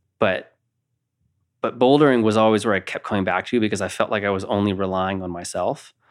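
With an American accent, a man talks at a fairly quick pace in an unremarkable speaking voice, fairly low in pitch and with fairly even intonation, on a very clean recording with a silent background. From Napa, California. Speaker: elite boulderer. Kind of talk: casual interview.

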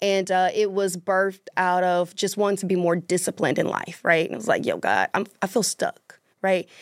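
A woman's medium-pitched voice with a Southern US accent, monotone and flat, at a moderate pace with hardly any pauses, dry and close with no echo on a very clean recording with a silent background. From US South, Mississippi. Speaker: author and public speaker. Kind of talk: casual chat.

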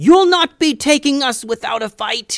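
A man puts on a character voice, extremely high and raspy. He delivers it at a moderate pace.

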